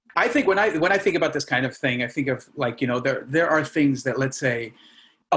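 Here a man has a fairly high pitch, ordinary pitch variation and an unremarkable speaking voice. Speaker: podcast host. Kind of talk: casual chat.

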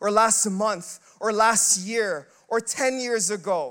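A loud man's voice, high in pitch, with fairly even intonation. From Filipino heritage. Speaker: pastor. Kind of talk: sermon. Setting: church.

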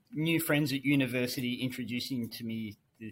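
Speaking in an Australian accent, a man moves at a fairly quick pace with medium pitch and ordinary pitch variation. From rural New South Wales, Australia. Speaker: finance executive. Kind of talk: casual interview.

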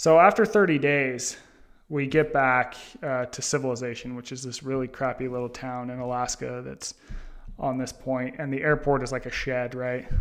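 A man with an American accent uses a normal speaking voice at a medium pitch, talking at a moderate pace with fairly even intonation. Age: 30s. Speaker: author. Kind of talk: interview.

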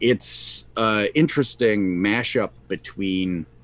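A man with a fairly low pitch speaks at a very slow pace with ordinary pitch variation. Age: 50s. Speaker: podcast co-host, tabletop gamer. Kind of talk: casual chat. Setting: live stream.

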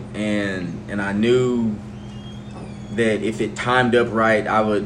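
With an American accent and a fairly low pitch, a man speaks in fairly even intonation over noticeable background noise and audible room echo. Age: 30s. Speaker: high school football coach. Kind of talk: interview.

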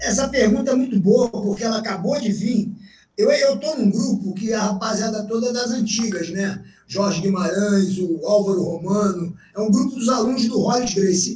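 Audible room echo colors the recording. A man with a high pitch speaks at a moderate pace with ordinary pitch variation. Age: 60s. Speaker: jiu-jitsu veteran. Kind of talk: casual interview.

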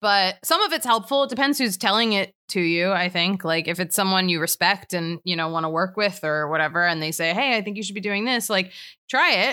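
Speaking fairly quickly with hardly any pauses, a woman uses a medium pitch, ordinary pitch variation, and a bright, sharp tone. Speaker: comedian and writer. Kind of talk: casual chat. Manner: fast.

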